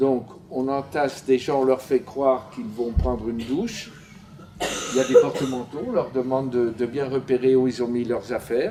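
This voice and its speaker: Over noticeable background noise, a man with a medium pitch speaks at a moderate pace with ordinary pitch variation. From France, Paris. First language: Yiddish (speaking French). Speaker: Holocaust survivor giving testimony. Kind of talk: testimony. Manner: halting, with frequent hesitations.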